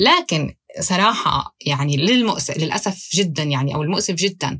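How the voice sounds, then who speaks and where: A woman speaks in a normal speaking voice. Her pitch is fairly low and her intonation lively. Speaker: investigative journalist. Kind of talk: interview.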